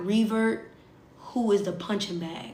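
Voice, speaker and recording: A woman speaks very slowly at a medium pitch with fairly even intonation. Audible room echo and noticeable background noise surround her voice. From US South. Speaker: social media livestreamer. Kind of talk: casual livestream chat.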